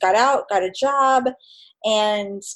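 Using a plain, everyday voice, a woman with a fairly high pitch speaks with ordinary pitch variation. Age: 40s. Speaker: photographer. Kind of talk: casual chat.

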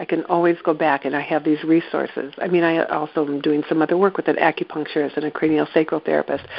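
Monotone, flat intonation at a fairly quick pace with an American accent. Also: woman. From East Central Iowa, US Midwest. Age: 60s. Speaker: movement therapy practitioner. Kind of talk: guided exercise.

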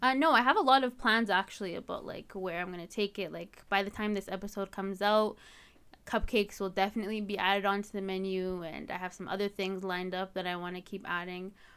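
With a Canadian accent, a woman speaks at a very fast pace and medium pitch, her intonation fairly even but her loudness swinging widely, in a very clean recording with a silent background. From Canada, Edmonton. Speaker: university student and home cake baker. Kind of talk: casual interview.

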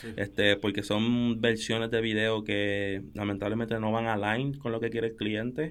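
The voice runs on at a moderate pace with hardly any pauses and a monotone, flat intonation. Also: man, medium pitch for a man. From Puerto Rico, early years in Dominican Republic. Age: 20s. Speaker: photographer and videographer. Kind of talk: casual interview chat.

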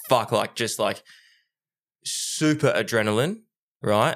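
A man with an Australian accent and ordinary pitch variation, on a very clean recording over a silent background. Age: 30s. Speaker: podcast co-host. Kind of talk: casual chat. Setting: studio.

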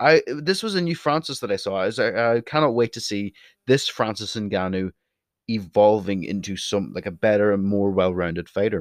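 Sounding dry and close with no echo, a man with a Northern Irish accent speaks at a moderate pace in a fairly low pitch, his tone passionate and his intonation lively. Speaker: podcast host. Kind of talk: solo podcast monologue. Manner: opinionated, passionate.

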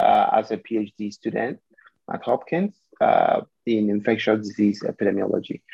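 A man at a fairly slow pace with ordinary pitch variation, music playing in the background. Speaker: military doctor. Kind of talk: panel talk. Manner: halting.

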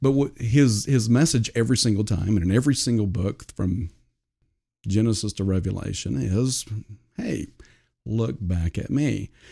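In a very clean recording with a silent background, a somewhat breathy voice with a dark, mellow tone and an American accent moves at a moderate pace, with lively intonation and long, frequent pauses. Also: man, fairly low pitch for a man. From Oklahoma. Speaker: entrepreneur. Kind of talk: casual chat. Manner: halting.

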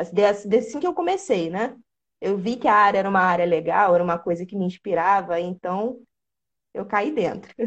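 At medium pitch and a moderate pace, a woman with an ordinary speaking voice talks with ordinary pitch variation. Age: 20s. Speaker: programming content creator. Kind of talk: casual interview.

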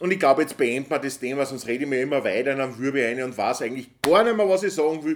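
Speaking very fast, a man with a fairly high voice shows ordinary pitch variation. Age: 40s. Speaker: podcast host. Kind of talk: casual monologue.

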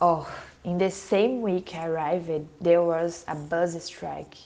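Speaking at a fairly slow pace, a woman with a Portuguese accent has a fairly low voice. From Brazil. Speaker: former exchange student. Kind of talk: interview.

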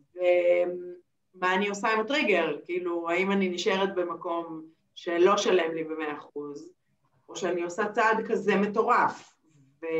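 The pace of this woman's speech is very slow. She talks at a fairly low pitch. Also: ordinary pitch variation. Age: 40s. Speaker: NLP trainer and therapist. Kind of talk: interview. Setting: video call.

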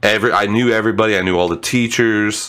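A man talks at a fairly quick pace in a normal speaking voice, his pitch medium. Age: 30s. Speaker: gaming podcast host. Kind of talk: casual chat.

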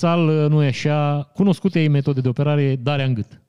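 The man's tone is dark and mellow, and he speaks at a moderate pace. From Romania, Maramureș (Vișeu). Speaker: podcast host, commentator. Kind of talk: casual news commentary. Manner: animated, joking.

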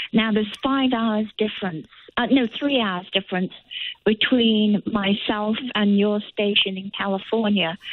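With an East Midlands accent, a woman talks at a fairly slow pace in a fairly high pitch with fairly even intonation. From England, Nottinghamshire. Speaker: caller. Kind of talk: phone-in thanks. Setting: phone call.

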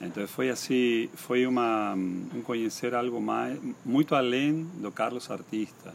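A man's medium-pitched voice moves very slowly, its pitch rising and falling in an ordinary way. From Argentina, Misiones (Posadas). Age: 50s. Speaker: painter. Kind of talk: interview. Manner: halting.

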